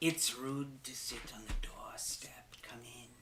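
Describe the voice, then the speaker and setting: In a whispered, put-on character voice, the speaker goes at a fairly slow pace. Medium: actual play. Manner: haughty, menacing.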